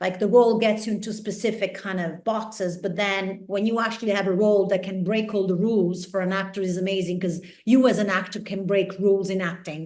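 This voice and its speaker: Speaking fairly quickly in an Italian accent, a woman with a medium pitch keeps a monotone, flat intonation amid audible room echo. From Italy. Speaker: actress. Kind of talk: interview.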